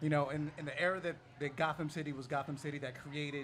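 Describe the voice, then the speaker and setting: This man's voice sits at a fairly high pitch and is somewhat breathy. He talks at a moderate pace. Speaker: comic book panelist. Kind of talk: live panel discussion. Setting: bar with live audience.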